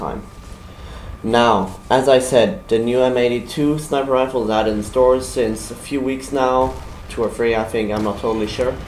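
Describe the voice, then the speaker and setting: With a German accent, a man speaks at a moderate pace with ordinary pitch variation, amid noticeable background noise and audible room echo. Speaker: gaming YouTuber. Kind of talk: video game weapon review. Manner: halting.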